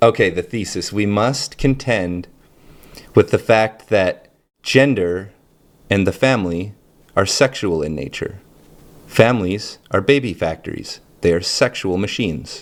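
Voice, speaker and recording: In a very clean recording with a silent background, a man speaks at a moderate pace with a fairly low pitch and ordinary pitch variation. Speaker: channel host discussing gender identity. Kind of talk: solo monologue talk.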